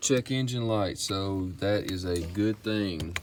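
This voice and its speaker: A man with a Southern US accent talks in a relaxed tone with ordinary pitch variation, audible room echo around him. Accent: country Southern. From US South, Mississippi. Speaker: car restoration hobbyist. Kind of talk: DIY repair vlog. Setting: in a car, then garage. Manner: casual, relaxed.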